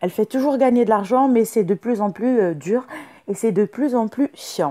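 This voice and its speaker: Speaking at a moderate pace, a woman has a fairly high pitch and a dark, mellow tone, recorded with a dry, close sound and no echo. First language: not French (speaking French). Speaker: YouTuber. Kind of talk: tutorial. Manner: halting, many fillers.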